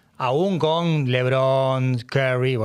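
The clip has an ordinary speaking voice with ordinary pitch variation. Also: man. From Argentina, Buenos Aires. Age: 50s. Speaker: sports journalist. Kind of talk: casual interview.

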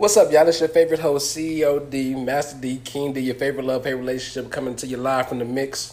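With an American accent, this voice moves at a very fast pace with hardly any pauses and fairly even intonation. Noticeable background noise runs under it. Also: man, fairly high pitch for a man. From Houston, Texas. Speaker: podcast host. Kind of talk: casual chat.

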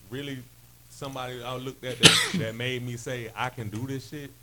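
Against noticeable background noise, a man speaks at a moderate pace in a medium pitch. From western North Carolina (Hendersonville), born in DC. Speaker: hip hop artist. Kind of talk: casual interview chat.

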